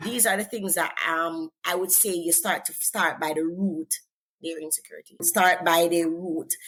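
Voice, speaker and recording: A woman speaks at a moderate pace in a Jamaican accent with fairly even intonation. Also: fairly low pitch for a woman. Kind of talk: interview. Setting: podcast.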